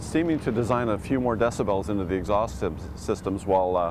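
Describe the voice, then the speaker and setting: A man with a Canadian accent talks at a fairly quick pace in a fairly low voice, with audible room echo. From Canada. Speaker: motorcycle journalist. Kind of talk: casual interview.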